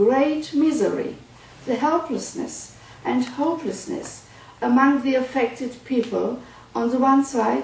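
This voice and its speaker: Amid noticeable background noise and audible room echo, a woman speaks slowly at a high pitch, her intonation fairly even. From Germany. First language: German. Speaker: psychoanalyst. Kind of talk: lecture. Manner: formal.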